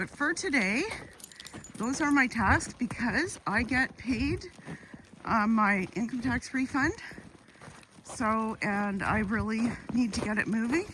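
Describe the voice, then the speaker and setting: Against noticeable background noise, a woman with a Canadian accent speaks at a very slow pace with long, frequent pauses. Her pitch is fairly high, with ordinary variation. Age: 60s. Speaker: YouTuber. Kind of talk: casual vlog monologue. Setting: outdoors on a walk with dogs.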